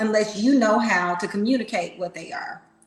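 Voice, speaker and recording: A woman speaks at a fairly high pitch with ordinary pitch variation. Room echo is audible. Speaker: relationship podcast co-host. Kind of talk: casual chat. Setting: livestream. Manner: loud.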